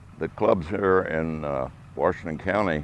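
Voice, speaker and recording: Speaking at a fairly slow pace, a man with a very deep, low pitch shows vocal fry and ordinary pitch variation. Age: 80s+. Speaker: veteran fly casting instructor. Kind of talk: interview testimony.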